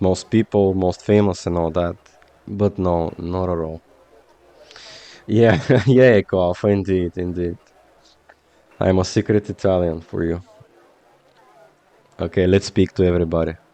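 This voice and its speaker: With a Slavic accent, a man speaks at a very deep, low pitch and a fairly slow pace, leaving long, frequent pauses. His intonation is fairly even, and the sound is dry and close with no echo. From Bulgaria. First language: Bulgarian. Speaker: video game streamer. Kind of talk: casual chat. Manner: halting.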